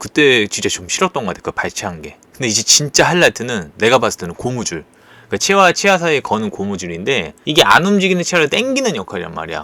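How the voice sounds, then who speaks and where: Very fast and with big swings in loudness, a man at medium pitch speaks with very wide pitch swings in a dry, close sound with no echo. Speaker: YouTuber sharing personal experience. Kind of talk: casual vlog monologue. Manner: informal, conversational.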